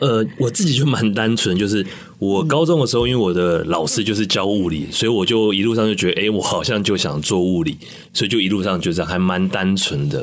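A man speaks in an ordinary speaking voice at a fairly quick pace. His pitch sits fairly low, with lively intonation. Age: young. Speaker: university professor. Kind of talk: radio interview.

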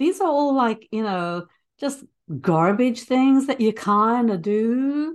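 Against a quiet background, a woman with a high pitch and lively intonation speaks at a very slow pace. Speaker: early childhood educator and interviewer. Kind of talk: casual interview. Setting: remote call.

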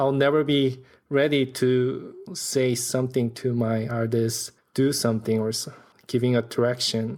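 Over a very clean recording with a silent background, a man speaks at a medium pitch and a fairly slow pace, his intonation monotone and flat and his loudness very even. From South Korea. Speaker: animation director and storyboard artist. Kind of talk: casual interview.

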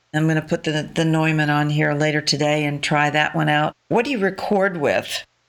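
At a moderate pace with hardly any pauses, a woman talks in a very deep, low voice, her loudness very even and her intonation fairly even. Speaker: radio host. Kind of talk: casual interview chat. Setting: remote call recorded at home.

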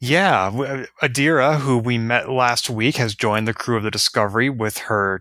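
Bright and sharp in tone, a man's voice sits at medium pitch with fairly even intonation. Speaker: podcast co-host. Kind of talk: casual chat, podcast discussion.

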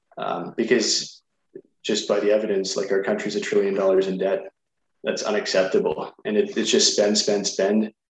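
The speaker is a man with a Canadian accent. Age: 20s. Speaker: political candidate. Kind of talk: radio interview. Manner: hesitant, filler-heavy.

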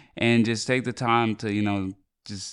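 In a plain, everyday voice, a man speaks with a fairly low pitch and fairly even intonation against a quiet background. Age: 20s. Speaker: podcast co-host. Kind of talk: casual chat.

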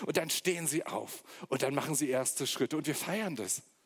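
At a moderate pace, a man with a fairly high pitch and vocal fry is heard in a very clean recording with a silent background. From eastern Germany, Magdeburg. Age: 40s. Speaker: guest preacher. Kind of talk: sermon.

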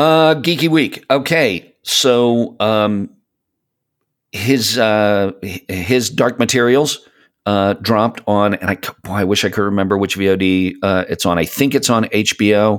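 A man at a fairly slow pace, fairly low in pitch with ordinary pitch variation, in an ordinary speaking voice, in a very clean recording with a silent background. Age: 50s. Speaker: podcast host. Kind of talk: casual chat.

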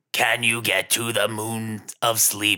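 Putting on a character voice, a man speaks at a medium pitch in a flat monotone at a fairly slow pace.

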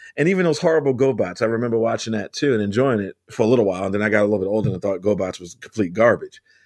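Over a quiet background, a man with a plain, everyday voice speaks at a medium pitch with lively intonation. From US, Baltimore. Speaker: comic book and TV writer. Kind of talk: casual interview.

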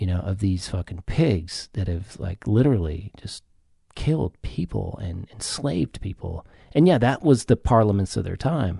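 This man talks at a moderate pace in a fairly low, somewhat breathy voice with a dark, mellow tone and lively intonation, recorded with a dry, close sound and no echo. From US South. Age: 40s. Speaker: psychiatric nurse and base jumper. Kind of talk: casual chat. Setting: studio.

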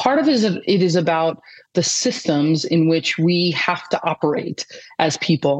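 A woman's fairly low-pitched, moderate-paced delivery in an ordinary speaking voice, with very even loudness and ordinary pitch variation. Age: 50s. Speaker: peace-focused coaching founder, former athlete and coach. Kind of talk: interview conversation.

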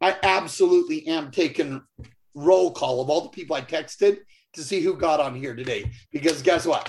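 A man speaks in a plain, everyday voice, his pitch fairly high with ordinary pitch variation. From Utah. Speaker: business leader. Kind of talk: motivational testimonial on a call.

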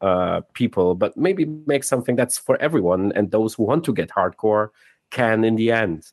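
The recording is dry and close with no echo over a quiet background, carrying a man's fairly low voice with a non-native accent. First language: not English. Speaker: game director and narrative designer. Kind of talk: casual interview chat. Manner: hesitant, many filler words.

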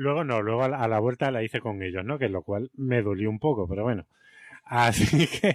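Talking at a fairly quick pace in an ordinary speaking voice, a man at a medium pitch shows ordinary pitch variation in a dry, close sound with no echo. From Spain, Seville. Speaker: teacher and podcast co-host. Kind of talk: casual chat.

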